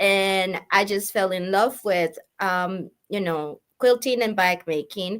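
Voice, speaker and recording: A medium-pitched woman with a Spanish accent talks at a very slow pace with hardly any pauses and ordinary pitch variation. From Colombia. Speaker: sewing and quilting teacher. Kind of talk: casual interview. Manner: halting.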